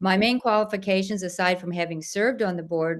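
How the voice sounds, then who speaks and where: With an American accent, a woman speaks in an unremarkable speaking voice at a moderate pace, her pitch fairly low and her intonation fairly even. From South Louisiana, then Missouri. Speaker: school board member and candidate. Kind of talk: candidate forum statement.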